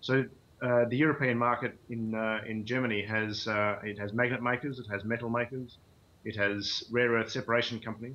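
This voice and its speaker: Speaking with an Australian accent, a man uses a monotone, flat intonation at a fairly quick pace, his medium-pitched voice bright and sharp in tone. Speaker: mining company CEO and geologist. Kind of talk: interview. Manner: hesitant, many fillers.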